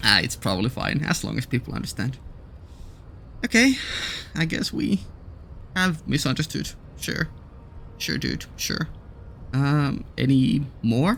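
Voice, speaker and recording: With a non-native accent, a man talks at a fairly slow pace, leaving long, frequent pauses. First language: not English. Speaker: gaming YouTuber. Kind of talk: let's play commentary. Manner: hesitant, many fillers.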